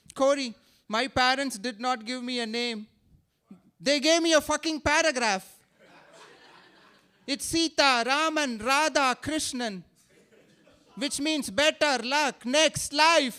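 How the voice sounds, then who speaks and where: Pausing long and often, a man with an Indian accent speaks at a very slow pace in a raised, projected voice with extremely high pitch. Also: ordinary pitch variation. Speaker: stand-up comedian. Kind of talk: stand-up. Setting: stage with audience. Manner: animated.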